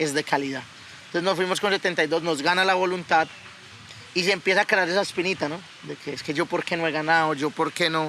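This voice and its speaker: Talking at a very fast pace, a man with a high pitch sounds animated. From Colombia (Yopal, then Bogotá). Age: 20s. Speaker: cattle breeder and podcast co-host. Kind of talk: casual chat.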